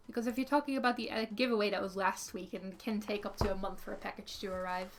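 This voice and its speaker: A woman talks at a very fast pace with a Dutch accent. Her pitch varies in an ordinary way. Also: medium pitch for a woman. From Netherlands. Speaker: artist streamer. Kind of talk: casual livestream chat. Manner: hesitant, many fillers.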